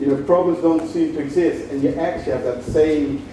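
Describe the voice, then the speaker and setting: A man with a Dutch accent and a fairly high pitch speaks with fairly even intonation amid audible room echo and noticeable background noise. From Netherlands, Maastricht (Limburg). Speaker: motivational speaker and social entrepreneur. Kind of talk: inspirational talk. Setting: stage with audience.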